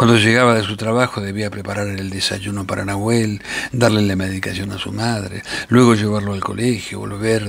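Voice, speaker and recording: Noticeable background noise sits under a man's fairly low voice, which moves at a moderate pace with fairly even intonation. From Argentina. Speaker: actor. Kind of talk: short story reading.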